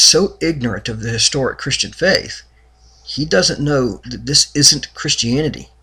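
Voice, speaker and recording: The tone is bright and sharp, with vocal fry and lively intonation. The pace is moderate. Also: man. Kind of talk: religious commentary talk to camera.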